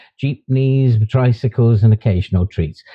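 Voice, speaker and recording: A man speaks with a British accent. His voice is somewhat breathy at a medium pitch. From UK. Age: 60s. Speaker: YouTuber and author. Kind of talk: vlog monologue.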